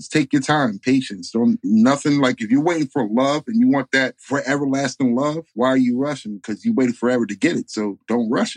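A man with a plain, everyday voice and an American accent speaks at a fairly quick pace, with hardly any pauses. His pitch is medium with ordinary variation, and the sound is dry and close with no echo. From New York, Bronx and upstate. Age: 30s. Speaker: life coach podcaster. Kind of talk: casual interview chat. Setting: remote call.

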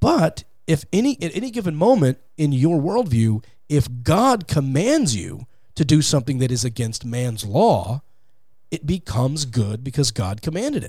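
A somewhat breathy man's voice with an American accent, very wide pitch swings, and a moderate pace. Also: fairly high pitch for a man. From Texas, Fort Worth. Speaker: podcast host, appearing as guest. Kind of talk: interview and religious debate.

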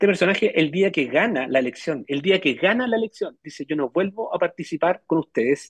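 With a Chilean accent, a man speaks at a fairly quick pace with lively intonation. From Chile, Melipilla. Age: 40s. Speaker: biotech entrepreneur. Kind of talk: interview.

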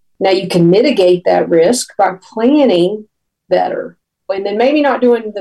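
A woman of medium pitch with a Tennessee accent, at a moderate pace. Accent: Southern US, Tennessee. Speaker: author and former park ranger. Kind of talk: interview about book.

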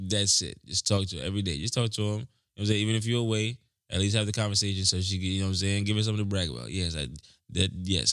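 In a very clean recording with a silent background, a man with an American accent speaks very fast at a fairly low pitch with ordinary pitch variation. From New York, Jamaican family. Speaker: musician. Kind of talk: casual chat. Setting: studio.

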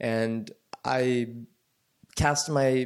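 A man of medium pitch has a plain, everyday voice with ordinary pitch variation. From US South, suburbs of Atlanta. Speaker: biotech company co-founder. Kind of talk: interview conversation.

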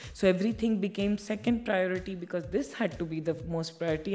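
Somewhat breathy and dark, mellow in tone, a woman talks with ordinary pitch variation over audible room echo. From India (Bihar). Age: 30s. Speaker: media entrepreneur. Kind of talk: keynote talk and Q&A. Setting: classroom with audience.

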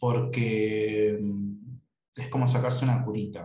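Very slow and somewhat breathy, a man speaks at a fairly low pitch with a dark, mellow tone and fairly even intonation. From Argentina, Buenos Aires. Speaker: writer. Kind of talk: casual interview.

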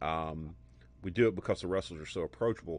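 A man with a Southern US accent speaks with lively intonation against a quiet background. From US South, Alabama. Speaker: podcast host. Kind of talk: casual interview. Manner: animated.

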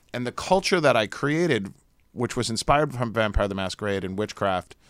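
A man's plain, everyday voice at medium pitch, with an American accent and a moderate pace, on a very clean recording with a silent background. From US Northeast, New Jersey. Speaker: vampire culture expert and warlock. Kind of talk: casual interview chat. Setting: studio.

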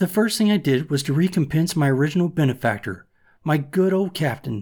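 A normal speaking voice from a man, fairly high in pitch, with ordinary pitch variation and a fairly quick pace. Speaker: audiobook narrator. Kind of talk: audiobook reading of a classic novel, first-person 18th-century narration. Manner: measured, steady storyteller pace with formal, old-fashioned phrasing.

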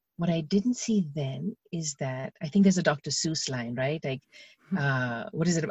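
Somewhat breathy, a woman with a very deep, low pitch talks at a moderate pace with lively intonation. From India. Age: 40s. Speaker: video coach and television chef. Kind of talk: podcast interview.

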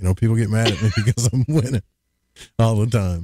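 Recorded dry and close with no echo, a man speaks in an Arkansas accent with a dark, mellow tone and fairly low pitch. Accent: Arkansas Southern drawl. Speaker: podcast host. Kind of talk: casual chat. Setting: livestream with chat.

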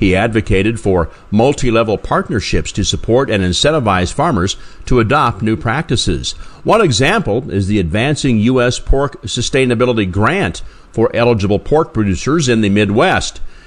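An ordinary speaking voice with lively intonation moves at a moderate pace with very even loudness. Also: man, medium pitch for a man. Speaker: farm radio host. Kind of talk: radio host presenting farm news.

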